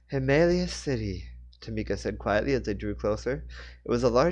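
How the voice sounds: Reading in a natural voice, the speaker keeps the intonation lively throughout.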